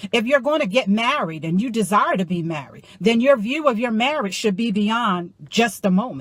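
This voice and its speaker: A woman talks at a moderate pace with a fairly high, somewhat breathy voice. Her tone is animated, with very wide pitch swings. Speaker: motivational life coach. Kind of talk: motivational talk.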